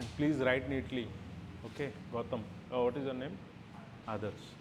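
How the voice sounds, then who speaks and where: At a moderate pace, the voice keeps a fairly even intonation against audible room echo. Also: man, medium pitch for a man. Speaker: physics teacher. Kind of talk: classroom lecture.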